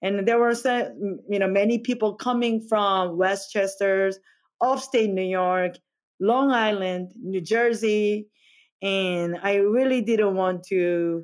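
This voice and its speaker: A woman with a Korean accent at a medium pitch and very slow pace, fairly even intonation, on a very clean recording with a silent background. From South Korea, Seoul. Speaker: chef. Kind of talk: interview. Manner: halting.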